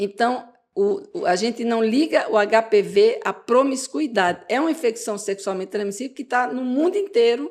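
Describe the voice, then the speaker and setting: A woman talks at a fairly high pitch with lively intonation. Her pace is moderate. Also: hardly any pauses. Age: 60s. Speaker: gynecologist. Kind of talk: interview. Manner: animated.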